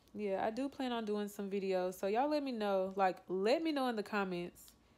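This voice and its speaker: This woman talks at a moderate pace with a Southern US accent and ordinary pitch variation. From Louisiana. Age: 20s. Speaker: vlogger. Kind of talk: casual talk to camera. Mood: low, subdued, reflective. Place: home room. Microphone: phone near.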